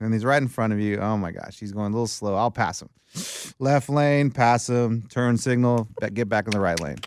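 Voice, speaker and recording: An unremarkable speaking voice from a man, medium in pitch, fairly quick, with ordinary pitch variation. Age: 40s. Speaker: sports podcast co-host. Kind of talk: casual chat.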